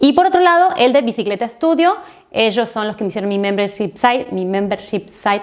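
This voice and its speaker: A woman talks at a fairly quick pace, her fairly high pitch moving in very wide swings. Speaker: online marketing educator and YouTuber. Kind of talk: casual recommendation vlog. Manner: fast.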